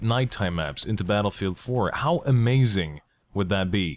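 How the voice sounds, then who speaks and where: In a very clean recording with a silent background, a man speaks at a moderate pace. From Belgium. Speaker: gaming YouTuber. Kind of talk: gameplay commentary vlog. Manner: animated.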